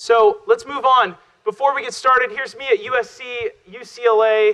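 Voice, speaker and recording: Raising and projecting his voice, a man talks at an extremely high pitch in a bright, sharp tone, with lively intonation and big swings in loudness. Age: 30s. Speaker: social media consultant and speaker. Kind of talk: keynote talk. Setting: stage with audience. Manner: fast.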